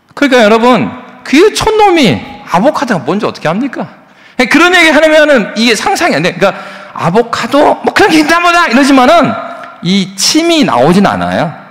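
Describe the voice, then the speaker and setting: Noticeable background noise sits behind a man whose pitch is extremely high and swings very widely. His tone is animated, and his pace is fairly quick. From South Korea, South Jeolla (Yeonggwang, Gwangju). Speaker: pastor. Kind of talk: sermon. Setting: church. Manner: animated, conversational.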